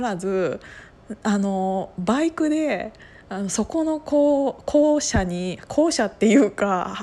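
A woman's fairly high voice with a dark, mellow tone, very wide pitch swings and a very slow pace. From Gunma, Kiryu. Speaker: podcaster. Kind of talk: casual monologue storytelling.

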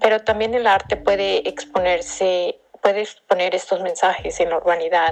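A woman with an unremarkable speaking voice talks at a moderate pace and medium pitch, with ordinary pitch variation and very even loudness. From Mexico, Acapulco, Guerrero. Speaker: cultural manager and curator. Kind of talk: recorded personal reflection.

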